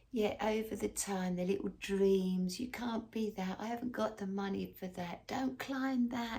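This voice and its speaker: A woman's voice of medium pitch comes across somewhat breathy, with a dark, mellow tone. Her pitch varies in an ordinary way. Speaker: tarot and astrology reader. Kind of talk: casual tarot reading to camera. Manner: soft-spoken.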